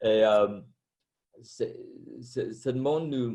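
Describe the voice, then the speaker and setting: Very slow speech from a man with a non-native accent, medium pitch, ordinary pitch variation and a dark, mellow tone. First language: not French (French is fourth language) (speaking French). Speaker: former Buddhist monk, meditation teacher. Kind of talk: panel discussion.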